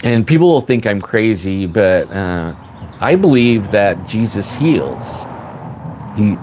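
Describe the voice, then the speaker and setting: A man at a very slow pace with very wide pitch swings over noticeable background noise. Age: 60s. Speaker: paranormal livestream host. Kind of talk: casual livestream monologue. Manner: halting, repetitive.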